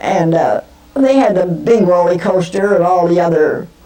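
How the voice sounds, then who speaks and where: With an American accent, a woman talks fairly slowly in a fairly low voice. Noticeable background noise can be heard. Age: 80s+. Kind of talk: interview answer.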